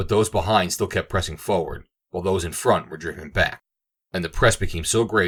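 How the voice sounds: Over a quiet background, the recording holds a natural reading voice.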